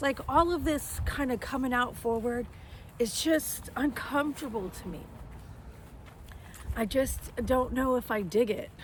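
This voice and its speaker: A woman speaks loudly at a high pitch with ordinary pitch variation, at a fairly slow pace with long, frequent pauses. There is noticeable background noise. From US South. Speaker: home decor business owner, artist. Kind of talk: casual chat. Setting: outdoors. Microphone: no microphones.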